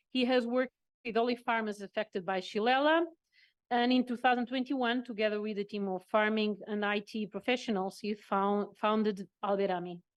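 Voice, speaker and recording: A woman speaks at a fairly quick pace with a fairly high pitch against a quiet background. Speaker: workshop moderator. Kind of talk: panel moderation. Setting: conference with interpreters. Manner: fast; halting.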